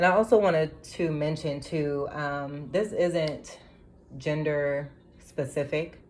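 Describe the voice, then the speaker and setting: A woman with a very deep, low pitch talks at a fairly slow pace amid audible room echo. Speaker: tarot reader. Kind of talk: tarot reading. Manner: hesitant, filler-heavy.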